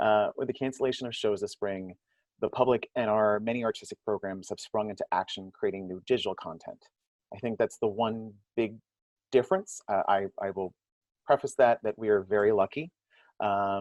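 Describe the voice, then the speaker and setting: A man talks in a normal speaking voice, fairly low pitched, at a moderate pace. His intonation stays fairly even, and the sound is dry and close with no echo. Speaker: theater audience services director. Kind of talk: panel discussion.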